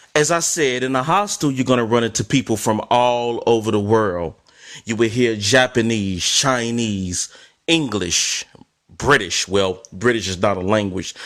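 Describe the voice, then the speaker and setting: In an ordinary speaking voice, a man with an American accent talks fairly slowly at a medium pitch. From US, Chicago. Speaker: travel vlogger. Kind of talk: casual storytelling monologue.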